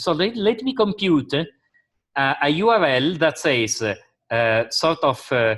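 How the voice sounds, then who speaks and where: The pitch swings very widely. There is vocal fry in the voice. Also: man. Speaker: university lecturer. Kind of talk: lecture.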